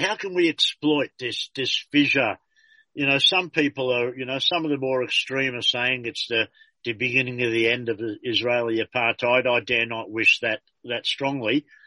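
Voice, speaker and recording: A man with an Australian accent speaks at a moderate pace and medium pitch, his tone bright and sharp. The sound is dry and close, without echo. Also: ordinary pitch variation. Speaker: community radio host. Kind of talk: casual interview. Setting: phone call.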